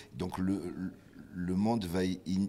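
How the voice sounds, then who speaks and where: Delivered at a very slow pace, the speech comes through on a very clean recording with a silent background. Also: man. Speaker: musician. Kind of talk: interview.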